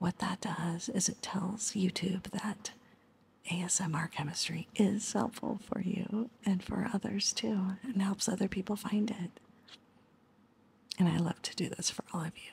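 A soft-spoken woman talks at a fairly slow pace. Her tone is gentle and her intonation fairly even. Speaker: ASMR chemistry tutor. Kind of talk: soft-spoken outro of an ASMR tutorial. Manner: soft-spoken, gentle ASMR voice.

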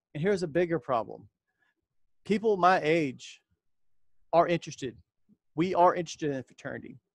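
Against a quiet background and with a dry sound free of echo, a man with a high voice speaks at a fairly quick pace with ordinary pitch variation and long, frequent pauses. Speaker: YouTuber talking about Freemasonry. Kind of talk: solo video monologue. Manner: direct and straightforward. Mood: serious, frank. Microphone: headset.

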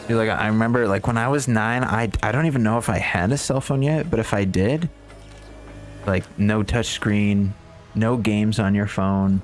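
Over noticeable background noise, a man talks at a moderate pace in a fairly low pitch, with ordinary pitch variation and very even loudness. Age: 20s. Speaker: gaming streamer. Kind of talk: live gameplay commentary, chatting with viewers. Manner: casual, animated.

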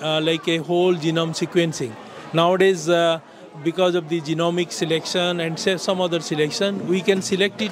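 A man with a high pitch, fairly even intonation and a moderate pace, in a dry sound with no echo and noticeable background noise. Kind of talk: interview answer. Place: hall. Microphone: handheld.

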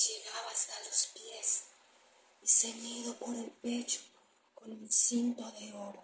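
A woman whispers in a solemn, dramatic tone. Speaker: ASMR scripture reader. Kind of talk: scripture reading aloud as ASMR, dramatic narration. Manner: slow, hushed, solemn, dramatic delivery. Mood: dramatic, spooky storytelling. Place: home room. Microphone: phone near.

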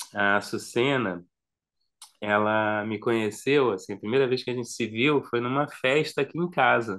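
Against a quiet background, a man talks at medium pitch and a fairly slow pace with ordinary pitch variation. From Brazil, Rio de Janeiro. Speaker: singer-songwriter and music video director; guest. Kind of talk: casual interview chat. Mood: relaxed, warm reminiscing. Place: home room.

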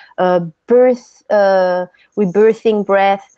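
A woman with a French accent speaks very slowly in a dark, mellow tone with fairly even intonation. The sound is dry with no echo, and the background is quiet. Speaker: breathwork teacher and author; breathwork teacher. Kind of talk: interview. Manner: halting. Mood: calm, reflective. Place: home room. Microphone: video call.

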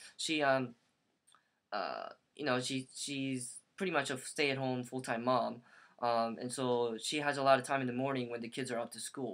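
The man's intonation stays fairly even while he talks at a moderate pace. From US. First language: Korean. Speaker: aspiring social worker. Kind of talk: video monologue. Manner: halting. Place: home room. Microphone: webcam.

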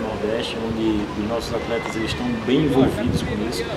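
A man talks at a fairly quick pace. Loud background noise runs beneath him. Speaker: football coach. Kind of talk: interview answer.

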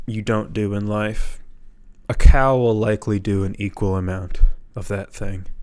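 Ordinary pitch variation marks a man's fairly slow delivery. Behind him, all is quiet. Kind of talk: deadpan comedic rant. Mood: deadpan, mock-serious. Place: home room. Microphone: handheld.

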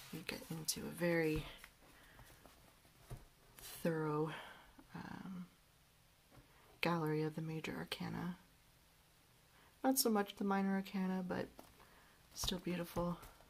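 Pausing long and often, a woman with a fairly low, somewhat breathy voice speaks at a fairly slow pace with ordinary pitch variation over light background noise. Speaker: book reviewer. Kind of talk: book review talk to camera. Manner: relaxed, hesitant with fillers.

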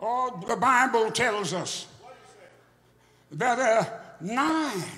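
A man speaks in a raised, projected voice at an extremely high pitch with ordinary pitch variation. Light background noise is audible. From United States. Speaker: pastor. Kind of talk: preaching, closing a sermon with a whooping finish. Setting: church with a congregation. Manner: rhythmic, repetitive, building, call-and-response. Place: church. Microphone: handheld.

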